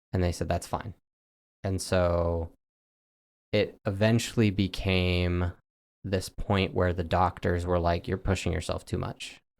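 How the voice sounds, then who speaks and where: A man's very deep, low voice with a West Coast accent, fairly slow with long, frequent pauses and fairly even intonation, in a very clean recording with a silent background. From US West, Oregon. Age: 20s. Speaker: cancer patient. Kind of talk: interview.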